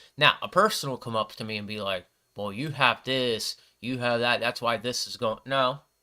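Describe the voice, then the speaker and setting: This man's voice has a bright, sharp tone. He speaks at a medium pitch and a moderate pace. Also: very clean recording, silent background. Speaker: livestream bible reader. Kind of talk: casual commentary on bible reading. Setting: livestream with camera. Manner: halting, stutters when reading.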